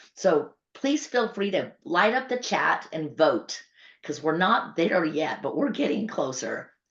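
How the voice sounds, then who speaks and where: A woman speaks with a fairly low pitch. Her voice moves in very wide pitch swings. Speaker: patient advocacy nonprofit leader hosting town hall. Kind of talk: online town hall announcements. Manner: fast; talkative.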